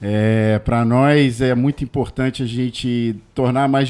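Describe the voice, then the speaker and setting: On a very clean recording with a silent background, a man uses a normal speaking voice at a medium pitch and a fairly slow pace. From Rio de Janeiro state, Brazil (Nova Friburgo, Niterói). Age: 40s. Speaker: public health worker. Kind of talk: talk show interview.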